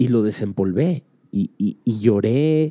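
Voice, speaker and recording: Very wide pitch swings mark this man's dark, mellow voice. The sound is dry and close, with no echo. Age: 30s. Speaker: comedian and podcast host. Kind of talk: casual chat.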